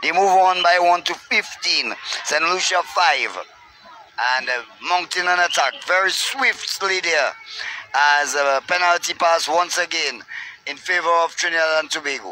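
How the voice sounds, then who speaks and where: Amid faint background music, a man with a high pitch talks at a moderate pace with ordinary pitch variation and long, frequent pauses. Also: dry sound with no echo. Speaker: sports commentator. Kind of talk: commentary.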